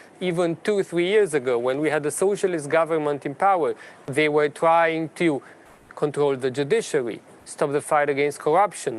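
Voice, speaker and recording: Speaking at a moderate pace with a Romanian accent, a man uses a fairly high pitch and ordinary pitch variation. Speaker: politician. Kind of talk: formal speech at a panel debate. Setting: parliament event.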